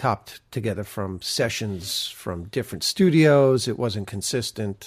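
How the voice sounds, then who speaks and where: This is a normal speaking voice from a man with an American accent. His pitch sits fairly low. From New York area. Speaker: podcast co-host. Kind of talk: casual chat. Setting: video call.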